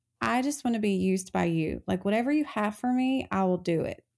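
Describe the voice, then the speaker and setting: A woman with an Appalachian accent speaks at a moderate pace and a medium pitch. The recording is very clean, with a silent background. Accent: Southern US (Appalachian). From North Carolina mountains (Appalachia). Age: 30s. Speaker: cosmetics business founder. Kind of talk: interview testimony.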